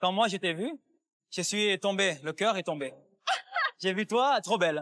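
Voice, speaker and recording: Recorded dry and close with no echo, a man speaks at a moderate pace with a high pitch and lively intonation. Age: 20s. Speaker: reality TV participant. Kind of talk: casual chat.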